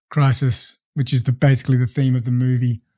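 A man with an Australian accent speaks at a fairly quick pace in a medium pitch. His tone is dark and mellow, somewhat breathy, with fairly even intonation and a dry, close sound with no echo. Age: 30s. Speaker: podcast host. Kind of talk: casual chat.

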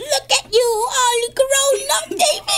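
A female-sounding, put-on character voice at an extremely high pitch speaks at a fairly slow pace.

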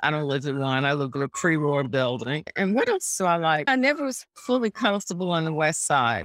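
Moderately paced speech with an American accent, dry and close with no echo, on a very clean recording with a silent background. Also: woman. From New York City. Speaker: author. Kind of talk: casual interview.

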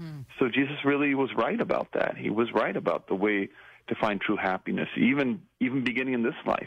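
This man has an unremarkable speaking voice at a medium pitch, talking fairly quickly with lively intonation. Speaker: priest and author. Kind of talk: interview, teaching about the Beatitudes.

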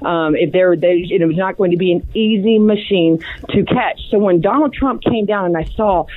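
Noticeable background noise sits under a woman speaking at a moderate pace with a medium pitch and ordinary pitch variation. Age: young. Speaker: TV and radio political commentator. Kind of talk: casual interview.

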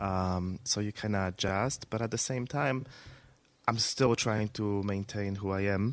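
A speaker with a non-native accent talks at a fairly slow pace with fairly even intonation, on a very clean recording with a silent background. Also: man, fairly low pitch for a man. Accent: foreign. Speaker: business owner, guest.

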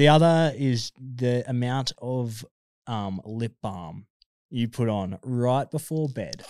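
In an Australian accent, a man speaks at a very slow pace with a dry, close sound and no echo. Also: medium pitch for a man, ordinary pitch variation. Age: 20s. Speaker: lifeguard. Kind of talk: casual chat.

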